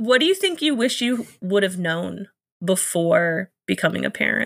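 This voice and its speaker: Very slowly, a woman speaks in a medium-pitched voice that moves through very wide pitch swings. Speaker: podcast host. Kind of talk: casual interview.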